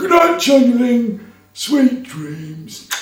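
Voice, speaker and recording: A put-on character voice sits at a fairly high pitch with very wide pitch swings. There is slight echo in the recording. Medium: read story. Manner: gentle, repetitive.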